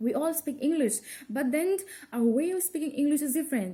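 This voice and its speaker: Lively in intonation, a woman speaks at a high pitch with a dark, mellow tone and a slight non-native accent. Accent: slight mother-tongue tone in English. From India, Assam. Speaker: college student. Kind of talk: class presentation. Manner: halting, with self-corrections.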